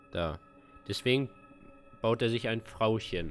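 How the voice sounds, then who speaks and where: Faint music sits in the background. Over it, a man talks at a fairly slow pace. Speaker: gamer streamer. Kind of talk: game commentary, reading aloud. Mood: puzzled, thoughtful.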